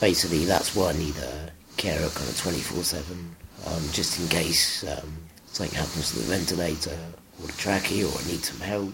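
A man with a very deep, low pitch speaks at a moderate pace, with audible room echo and noticeable background noise. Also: ordinary pitch variation. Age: 20s. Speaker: person with muscular dystrophy using a health budget. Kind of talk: casual interview testimony. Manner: hesitant with many fillers.

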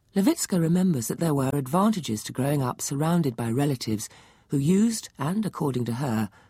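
A woman with a very deep, low pitch and a dark, mellow tone, somewhat breathy, with very wide pitch swings at a fairly quick pace, on a very clean recording with a silent background. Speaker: narrator presenter. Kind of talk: scripted narration.

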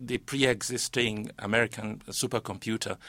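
Using fairly even intonation at a moderate pace, a man speaks at medium pitch with a Yoruba accent. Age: 50s. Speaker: linguist and poet. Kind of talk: panel discussion. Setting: studio.

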